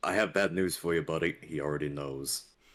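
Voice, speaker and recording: In a put-on character voice, a man talks at a fairly quick pace with a very deep, low pitch. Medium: actual play. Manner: blunt, casual slang.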